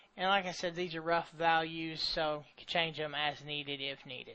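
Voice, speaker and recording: A man with an ordinary speaking voice talks fairly slowly at fairly high pitch, with fairly even intonation. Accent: American. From US South. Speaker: software tutorial creator. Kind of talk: tutorial. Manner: casual.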